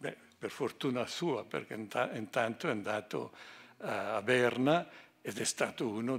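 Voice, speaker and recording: A man talks at a very slow pace. His pitch is medium, with ordinary pitch variation. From Ticino, Switzerland (Chiasso); Ticino, Switzerland. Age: 80s+. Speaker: economist and honoree; speaker. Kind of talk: speech. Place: hall. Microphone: podium.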